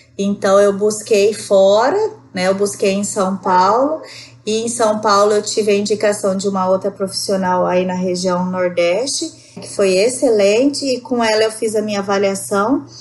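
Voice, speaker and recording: A woman at a medium pitch with ordinary pitch variation, at a fairly slow pace amid noticeable background noise. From Rondônia, northern Brazil. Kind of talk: podcast interview answer. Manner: conversational.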